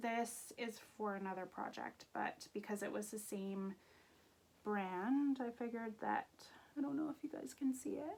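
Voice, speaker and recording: Here is a woman with a plain, everyday voice, fairly high in pitch. Her intonation is lively and her pace moderate. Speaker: knitting podcaster. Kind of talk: casual chat. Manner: casual with many fillers.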